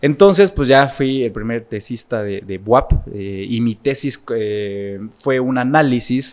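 A man's medium-pitched voice with lively intonation, very slow pace and hardly any pauses, over a quiet background. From Puebla, Mexico. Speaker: political consultant and lecturer; lecturer. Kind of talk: interview conversation. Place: studio. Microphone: studio mic.

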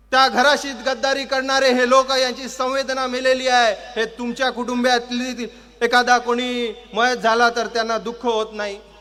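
An extremely high male voice, raised and projected, monotone and flat in intonation, with noticeable background noise. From Kalyan, Maharashtra, India. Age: 20s. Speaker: political party youth official and lawyer. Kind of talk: political rally speech. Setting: public rally with crowd. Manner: loud, rousing oratory.

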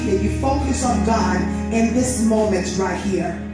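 A woman's voice in strong room echo, with clear music in the background. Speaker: preacher leading worship. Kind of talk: sermon. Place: church.

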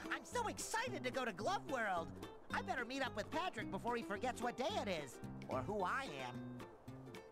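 Over clear music in the background, a put-on character voice speaks at a moderate pace. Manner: excited, exaggerated.

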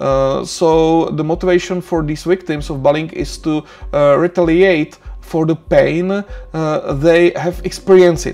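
Faint music sits behind a man with a non-native accent who speaks at a fairly slow pace. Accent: non-native English speaker. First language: Czech. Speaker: university lecturer. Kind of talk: lecture. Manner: hesitant, many filler sounds. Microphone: webcam.

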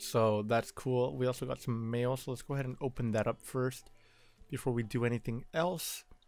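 Faint music plays behind a man speaking at a medium pitch and moderate pace. His intonation is fairly even, and the sound is dry with no echo. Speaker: gaming youtuber. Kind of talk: let's play commentary. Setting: at home at night. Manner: quiet, low volume. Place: home room.

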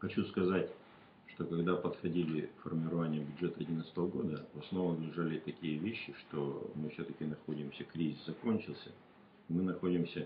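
Over light background noise, a man with a very deep, low voice speaks at a moderate pace in a monotone, flat intonation. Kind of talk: interview answer. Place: meeting room.

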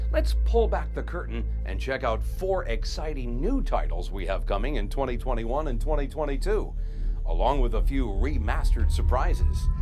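Music plays in the background as a man speaks at a moderate pace in an upbeat, enthusiastic tone. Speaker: voice actor. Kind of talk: promotional showcase host narration.

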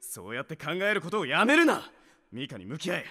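A man does a cartoonish character voice, fairly high-pitched and bright, sharp in tone, with very wide pitch swings at a fairly quick pace.

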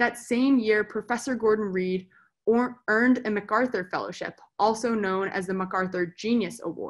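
In a quiet setting, a woman talks at a moderate pace with a fairly high pitch and fairly even intonation. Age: 20s. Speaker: student, sponsor family member. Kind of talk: reading prepared introduction. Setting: video call. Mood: warm, smiling. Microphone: webcam.

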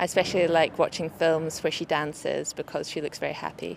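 A woman's voice, dry with no echo, over light background noise. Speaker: interviewee. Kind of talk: interview answer. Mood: friendly, smiling. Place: street.

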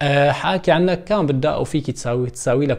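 With lively intonation, a man speaks fairly fast, and the background stays quiet. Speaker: vlogger. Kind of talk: casual vlog chat. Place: home room.

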